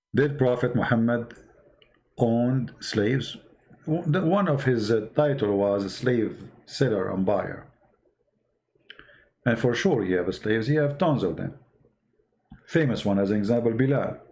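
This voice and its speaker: A man with a medium pitch speaks fairly slowly, with lively intonation and long, frequent pauses. Audible room echo colors the recording. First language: Arabic. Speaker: online religious debater. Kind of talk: live stream talk answering chat. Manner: halting.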